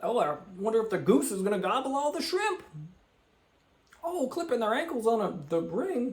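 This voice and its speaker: Shouting loudly with an animated tone, a man speaks at a moderate pace in an extremely high pitch with very wide pitch swings, leaving long, frequent pauses, while noticeable background noise and audible room echo fill the recording. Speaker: gaming video creator. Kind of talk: game commentary. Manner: loud, yelling; high-pitched, animated.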